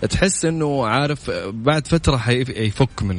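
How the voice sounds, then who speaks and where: Background noise is noticeable here. A man talks with a lively melody. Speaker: radio host. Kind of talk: live radio show chat. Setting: radio studio. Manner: chatty, casual.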